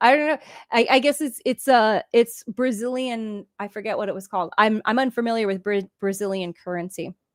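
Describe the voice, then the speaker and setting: In an unremarkable speaking voice, a woman talks at a fairly quick pace with a fairly high pitch and ordinary pitch variation, in a very clean recording with a silent background and a dry, close sound with no echo. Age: 50s. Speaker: livestreamer discussing TV shows and games. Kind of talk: casual livestream chat, reading viewer comments. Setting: livestream.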